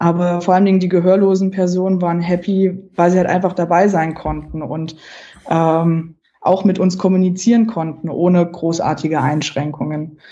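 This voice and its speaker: A fairly low-pitched woman's voice, dark and mellow, flat and monotone, at a moderate pace. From Saxony-Anhalt, Germany. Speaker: geocacher, accessibility campaigner. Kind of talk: interview.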